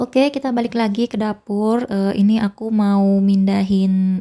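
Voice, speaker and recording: A dark, mellow, somewhat breathy woman's voice. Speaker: housewife vlogger. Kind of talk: casual cooking vlog narration. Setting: home kitchen.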